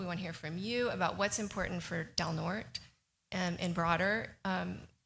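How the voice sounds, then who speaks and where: Speaking fairly quickly in an American accent, the voice has vocal fry and ordinary pitch variation. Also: woman. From California. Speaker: professor giving a presentation. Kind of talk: public presentation to county board. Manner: fast; halting, many fillers.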